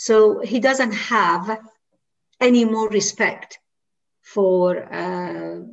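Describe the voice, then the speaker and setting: A woman with a Persian accent, speaking at a very slow pace with long, frequent pauses. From Iran. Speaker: women's rights activist. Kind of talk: interview discussion. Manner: hesitant with fillers.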